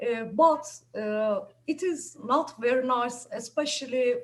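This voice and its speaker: The speaker has a Turkish accent, talking at a very slow pace with ordinary pitch variation. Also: woman. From Turkey. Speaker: chemistry professor. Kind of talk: self-introduction. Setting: video call. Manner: halting, many fillers.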